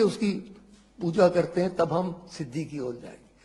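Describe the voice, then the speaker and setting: A man's voice has a high pitch and a dark, mellow tone. His pitch varies in an ordinary way. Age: 80s+. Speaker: scholar. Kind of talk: spoken explanation of scripture.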